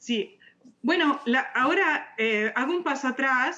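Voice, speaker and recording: A woman speaks with an Italian accent. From Italy. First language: Italian (speaking Spanish). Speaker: architect and author. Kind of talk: interview. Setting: video call. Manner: halting, many fillers.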